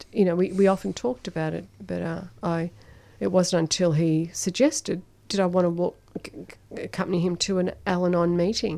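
A woman's fairly low voice with a dark, mellow tone and an Australian accent. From Melbourne, Australia, Italian migrant family. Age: 60s. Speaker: Al-Anon member sharing recovery. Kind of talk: personal testimony in radio interview. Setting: radio studio.

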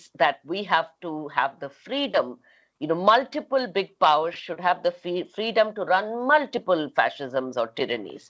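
A woman at medium pitch speaks at a moderate pace, her pitch swinging very widely. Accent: Indian. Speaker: feminist activist and author. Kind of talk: panel talk. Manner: halting, many fillers.

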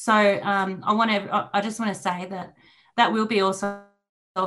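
A woman speaks at a medium pitch with an Australian accent. Her intonation stays fairly even. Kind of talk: panel discussion on radio.

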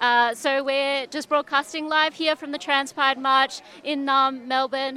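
In a raised, projected voice, a woman speaks at a fairly slow pace and high pitch with monotone, flat intonation. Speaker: radio reporter. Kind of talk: live field report. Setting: outdoors at a march. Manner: halting, many fillers.

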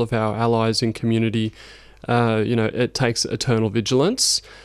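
A man with an Australian accent, medium pitch, on a very clean recording with a silent background. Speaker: climate campaign coordinator. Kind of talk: radio interview. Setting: studio.

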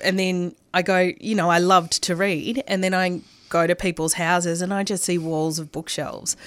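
A woman with an Australian accent, fairly low in pitch, at a moderate pace with fairly even intonation, on a very clean recording with a silent background. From Melbourne, Australia. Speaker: radio presenter. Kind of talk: casual interview chat. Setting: radio studio.

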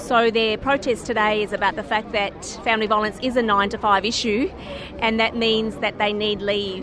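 Flat and monotone, a woman speaks at a medium pitch and a moderate pace. Noticeable background noise runs underneath.

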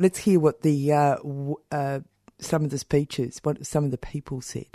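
A woman's very deep, low voice with a dark, mellow tone and an Australian accent, monotone and flat, at a fairly slow pace, dry and close with no echo over a quiet background. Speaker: radio host. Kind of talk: radio presenting and interviewing. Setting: studio.

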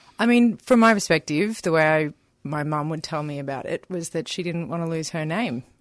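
Against a quiet background, a woman with an Australian accent speaks fairly quickly, her fairly low voice carrying lively intonation. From Melbourne, Australia. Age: 30s. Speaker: activist. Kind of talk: interview. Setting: radio studio.

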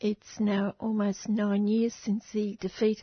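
The voice is somewhat breathy, with an Australian accent. It moves at a fairly slow pace in a flat, monotone delivery. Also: woman. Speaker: community radio host. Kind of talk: radio interview and presenting.

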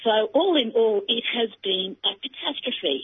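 A woman with an Australian accent, fairly high in pitch, with lively intonation. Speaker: rural policy advocate. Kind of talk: radio interview.

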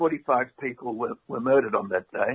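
With an Australian accent, a man speaks at a medium pitch and a fairly slow pace. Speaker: former diplomat. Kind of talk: interview.

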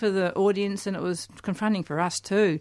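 A plain, everyday voice from a woman, moderately paced. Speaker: poet and author. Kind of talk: interview with poetry readings. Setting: studio.

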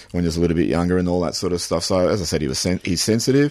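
A man with a very deep, low pitch and an Australian accent, ordinary pitch variation, and a quiet background. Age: 40s. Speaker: novelist. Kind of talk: radio interview.

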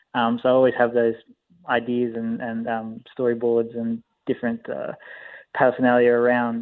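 A man speaks in an Australian accent. His intonation is monotone and flat. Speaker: film director. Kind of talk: interview.

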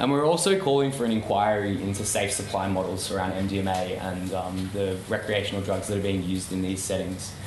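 Speaking at a fairly quick pace with an Australian accent, a man has a fairly low pitch and fairly even intonation. The room echo is audible, and there is noticeable background noise. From Melbourne, Australia. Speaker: campaign organiser. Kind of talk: public talk.

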